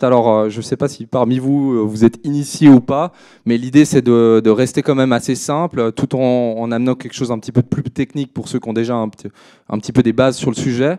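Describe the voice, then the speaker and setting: In a slight Swiss French accent, a man at medium pitch with a dark, mellow tone speaks at a fairly quick pace, with a dry, close sound with no echo. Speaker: crypto trader and consultant. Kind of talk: conference presentation. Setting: stage at a trading fair with audience. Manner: hesitant, many filler words.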